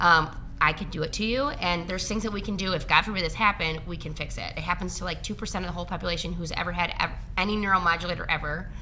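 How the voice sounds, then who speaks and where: Amid noticeable background noise and audible room echo, a woman with a fairly low pitch speaks very fast with ordinary pitch variation. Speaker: registered nurse injector. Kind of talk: casual interview. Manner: mumbling.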